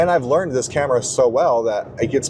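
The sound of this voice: Noticeable background noise fills the clip while a man speaks fairly quickly.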